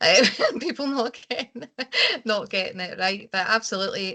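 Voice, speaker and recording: A woman speaks in a Scottish accent with a bright, sharp tone. Her pitch varies in an ordinary way. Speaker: care quality consultant. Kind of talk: webinar discussion.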